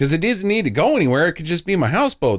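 His pitch is high, and this man's voice moves in very wide pitch swings. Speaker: podcast host. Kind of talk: casual chat.

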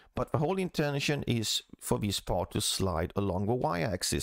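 Dry and close with no echo, a man's voice moves at a moderate pace with very wide pitch swings in a very clean recording over a silent background. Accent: Swedish. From Sweden. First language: Swedish. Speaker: CAD tutorial creator. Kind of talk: tutorial.

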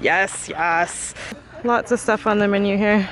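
A woman speaks with ordinary pitch variation. The sound is dry with no echo, with light background noise. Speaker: travel vlogger. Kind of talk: casual vlog chat. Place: open country. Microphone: phone near.

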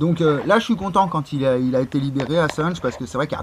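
Noticeable background noise fills the clip. Through it, a man speaks with lively intonation. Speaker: YouTuber. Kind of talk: casual monologue. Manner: halting.

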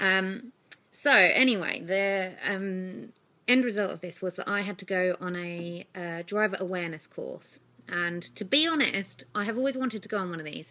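A woman speaks with an English accent in a bright, sharp tone. Her pitch varies in an ordinary way. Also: moderate pace. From UK. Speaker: vlogger. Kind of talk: vlog monologue. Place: home room. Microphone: phone near.

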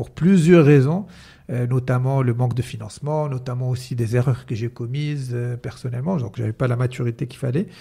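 Over a quiet background, a man speaks at a fairly quick pace, somewhat breathy, with ordinary pitch variation and big swings in loudness. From Morocco. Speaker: entrepreneur and mentalist; podcast guest. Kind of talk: casual interview chat. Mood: relaxed, smiling. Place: studio. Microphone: studio mic.

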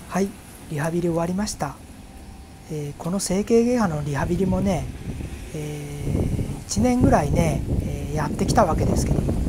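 Moderately paced male speech, broken by long, frequent pauses, over noticeable background noise. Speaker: family caregiver. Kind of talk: vlog talk to camera. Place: street. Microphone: phone near.

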